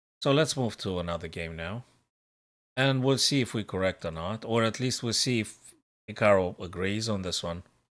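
A man speaks in a fairly low pitch with ordinary pitch variation. His pace is moderate and the background is quiet. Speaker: chess streamer. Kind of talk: live commentary. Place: home room.

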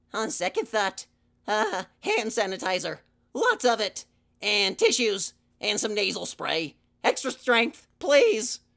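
Using a cartoonish character voice, a man talks at a fairly slow pace in a high pitch, recorded very cleanly against a silent background. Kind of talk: puppet audition. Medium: puppet.

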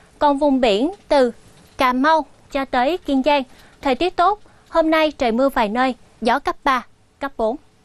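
A woman's high-pitched voice at a very slow pace, with ordinary pitch variation and a dry sound free of echo. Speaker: TV presenter. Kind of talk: weather forecast broadcast. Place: studio. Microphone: lapel.

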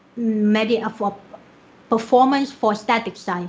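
Speaking fairly slowly, a woman with a Vietnamese accent uses a fairly high pitch. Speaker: software developer; conference speaker. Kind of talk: conference talk. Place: home room. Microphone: webcam.

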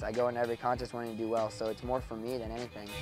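Over clear music in the background, a man talks very fast in a monotone, flat delivery, with a dry sound and no echo. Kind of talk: interview answer. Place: open country.

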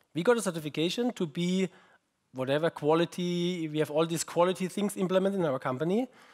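In a German accent, a man speaks very fast at a high pitch with ordinary pitch variation over a quiet background. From Germany. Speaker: research group head, conference keynote speaker. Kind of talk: keynote talk. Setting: conference stage with audience. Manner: halting, with fillers and repetitions. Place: hall.

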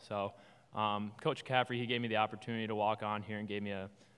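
At a fast pace, a man talks in a fairly low pitch with a fairly bright tone and little pitch movement.

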